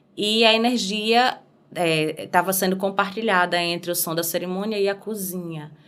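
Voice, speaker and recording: A woman talks at a moderate pace. Her pitch is medium and her intonation fairly even. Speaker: singer. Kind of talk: podcast interview answer.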